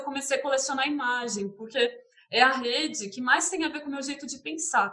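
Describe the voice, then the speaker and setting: A woman with a caipira accent speaks at a high pitch in a bright, sharp tone with ordinary pitch variation. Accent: caipira Brazilian Portuguese. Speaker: visual artist and art teacher. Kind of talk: interview. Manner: hesitant, many fillers.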